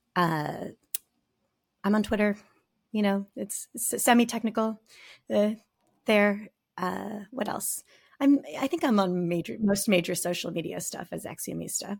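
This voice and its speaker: With an American accent, a woman speaks at a medium pitch, somewhat breathy and at a fairly slow pace, with ordinary pitch variation and long, frequent pauses on a very clean recording with a silent background. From US Southwest, rural southern Arizona near Mexican border. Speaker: software engineer. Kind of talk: casual interview.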